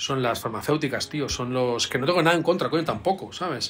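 A man's voice at a moderate pace, ordinary pitch variation, light background noise. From Spain. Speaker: doctor of science and author; interview guest. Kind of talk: interview. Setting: video call. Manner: halting. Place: home room.

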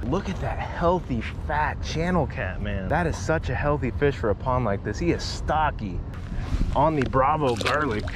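A man talks at a moderate pace with lively intonation, the sound dry with no echo but with noticeable background noise. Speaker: angler vlogger. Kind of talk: casual fishing vlog commentary. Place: waterside.

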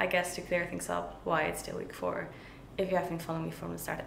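There is audible room echo around a woman's voice. Light background noise sits underneath. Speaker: fitness vlogger. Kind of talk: casual vlog chat. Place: kitchen.

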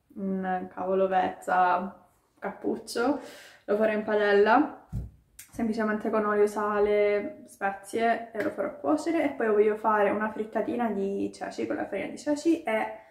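A woman at a moderate pace, audible room echo around her and a quiet background. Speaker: vlogger. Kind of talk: casual vlog chat. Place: kitchen. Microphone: phone near.

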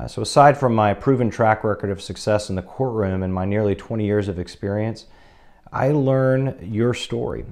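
A man with an American accent talks at a moderate pace, his pitch fairly low and its variation ordinary. The background is quiet. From South Texas, near the Mexican border. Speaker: criminal defense attorney. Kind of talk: promotional self-introduction. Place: office. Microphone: lapel.

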